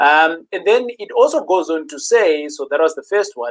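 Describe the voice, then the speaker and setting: The voice moves through very wide pitch swings. It is captured on a very clean recording with a silent background. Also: man. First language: not English. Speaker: property investing host. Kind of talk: live stream talk.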